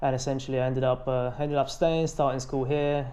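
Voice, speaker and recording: A man's very fast, monotone, flat speech at a medium pitch, dark and mellow in tone, with audible room echo. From Bulgaria. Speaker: fitness influencer. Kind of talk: interview.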